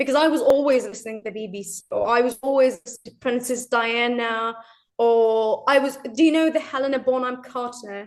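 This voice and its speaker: With a British RP accent, a woman speaks high-pitched at a moderate pace, her pitch varying in an ordinary way while her loudness swings a lot. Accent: British RP-like. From Turkey. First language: Turkish. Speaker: English learner. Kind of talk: interview.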